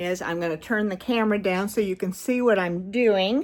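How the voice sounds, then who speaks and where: Speaking at a medium pitch and a fairly slow pace, a woman uses ordinary pitch variation. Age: 60s. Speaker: knitting vlogger. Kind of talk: tutorial. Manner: halting, many fillers.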